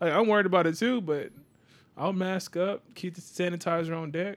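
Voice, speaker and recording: A man's high-pitched voice at a fairly quick pace. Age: 30s. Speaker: podcast host. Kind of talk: casual chat.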